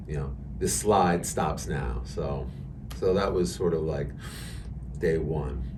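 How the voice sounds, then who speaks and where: Noticeable background noise and audible room echo fill the clip. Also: man. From New York, Hudson Valley (Westchester). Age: 60s. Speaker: amateur marathon runner. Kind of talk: podcast interview. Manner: hesitant, many fillers.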